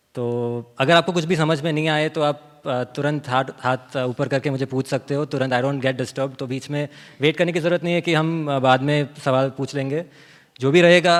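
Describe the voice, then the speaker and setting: Fairly even intonation marks the voice of a man with a fairly high pitch. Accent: Gujarati. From Pardi, Gujarat, India. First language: Gujarati (speaking Hindi). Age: young. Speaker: author and organic farmer. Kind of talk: seminar talk. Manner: code-switching Hindi and English, some fillers.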